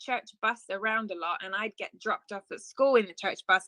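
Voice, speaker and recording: This woman has an English accent and a fairly high, bright, sharp tone. Her ordinary pitch variation comes through a dry, close sound with no echo. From southeast England (Ashford, Kent). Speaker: worship leader and entrepreneur. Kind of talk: testimony.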